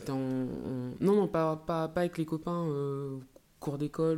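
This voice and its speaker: Her voice has a dark, mellow tone and a very deep, low pitch for a woman. She talks at a very slow pace with ordinary pitch variation. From France, Alsace (Mulhouse). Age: 30s. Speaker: former rugby player and speaker. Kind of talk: podcast interview.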